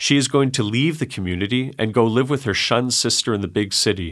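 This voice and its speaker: In a very clean recording with a silent background, a man with a Canadian accent uses an unremarkable speaking voice, medium in pitch, with ordinary pitch variation at a moderate pace. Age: 40s. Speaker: high school Bible teacher. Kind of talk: condensed sermon reading in studio. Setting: studio.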